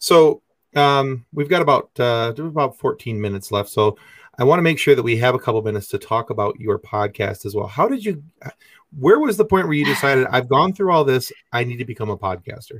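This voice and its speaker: On a very clean recording with a silent background, a man with a medium pitch speaks very fast, somewhat breathy, with lively intonation. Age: 40s. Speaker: podcast host. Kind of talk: casual interview. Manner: halting, many fillers.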